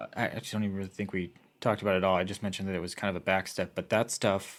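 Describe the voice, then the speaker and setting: A man with an American accent speaks very fast in a fairly low, monotone voice with flat intonation. The recording is very clean, with a silent background. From US Midwest, Iowa. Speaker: film crew member. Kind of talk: casual podcast interview. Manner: halting, many fillers.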